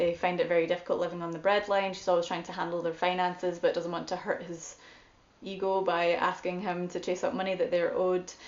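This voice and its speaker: Fairly quick and fairly low-pitched, a woman talks in a Scottish accent. Her intonation is monotone and flat. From Scotland. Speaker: guest host, book reviewer. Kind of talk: book discussion monologue.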